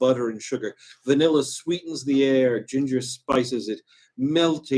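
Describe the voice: Over a quiet background, someone does plain reading aloud with ordinary pitch variation.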